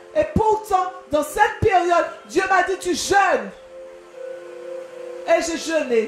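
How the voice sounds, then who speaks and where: A woman's extremely high voice with very wide pitch swings, at a very slow pace with long, frequent pauses, over music in the background. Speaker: pastor. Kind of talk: sermon.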